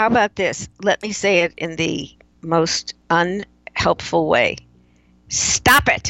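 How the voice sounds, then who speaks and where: With an American accent, a woman talks at a very slow pace, with vocal fry and ordinary pitch variation. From US Midwest, Chicago. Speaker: keynote speaker and author. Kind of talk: casual interview.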